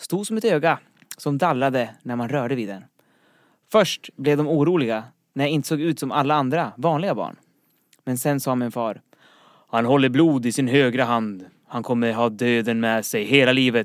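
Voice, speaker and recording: A man speaks at a moderate pace and medium pitch, with ordinary pitch variation and a plain, everyday voice. The recording is very clean with a silent background. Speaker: quiz podcast host. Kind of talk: casual chat. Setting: studio.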